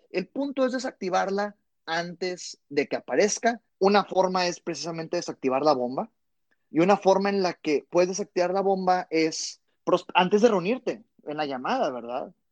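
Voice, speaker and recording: A man speaks with a high pitch and lively intonation at a moderate pace. The sound is dry and close, with no echo. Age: 20s. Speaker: sales trainer. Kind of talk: interview.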